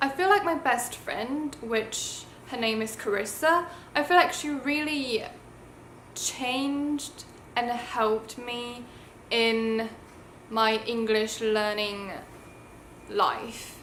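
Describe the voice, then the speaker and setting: A woman with a British accent, high in pitch, at a very slow pace with long, frequent pauses, amid audible room echo. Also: ordinary pitch variation. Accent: self-taught British. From Taiwan. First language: Mandarin Chinese. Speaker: YouTuber. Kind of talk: casual storytelling vlog.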